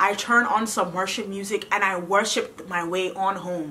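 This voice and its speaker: Animated in tone, a woman with an American accent talks at a fairly quick pace. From US, Ghanaian parents. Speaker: vlogger. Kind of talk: testimony. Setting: home video recording. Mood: earnest, emotional, grateful. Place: home room.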